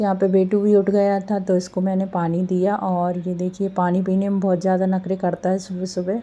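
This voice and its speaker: Speaking at moderate pace with hardly any pauses, a woman has a dark, mellow tone, medium pitch and monotone, flat intonation. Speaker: home vlogger, housewife and mother. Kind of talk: casual vlog voiceover narration. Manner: casual with many fillers.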